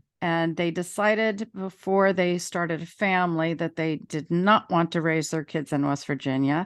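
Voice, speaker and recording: A woman with an American accent has a plain, everyday voice, pitched fairly low with fairly even intonation. She keeps a moderate pace with hardly any pauses. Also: quiet background. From Maryland, Montgomery County. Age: 60s. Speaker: author and school teacher. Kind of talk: interview.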